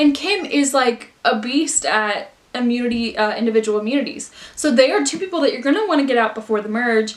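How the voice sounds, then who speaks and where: Through noticeable background noise, a woman with a high pitch speaks fairly quickly with lively intonation. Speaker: youtuber. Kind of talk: casual chat. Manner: fast; animated.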